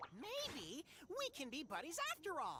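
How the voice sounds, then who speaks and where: Put-on character voice with clear background noise behind it. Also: moderate pace. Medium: video game. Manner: excitable, slangy.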